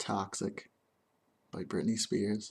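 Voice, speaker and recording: A man speaks softly in a gentle tone. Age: 20s. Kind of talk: ASMR get-to-know-me tag video, soft casual talk to camera. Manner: soft-spoken, gentle.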